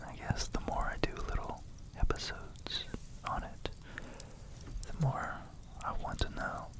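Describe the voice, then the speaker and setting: Whispering amid noticeable background noise, a man speaks with long, frequent pauses. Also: fairly slow pace. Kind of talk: ASMR educational whisper lesson. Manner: whispered.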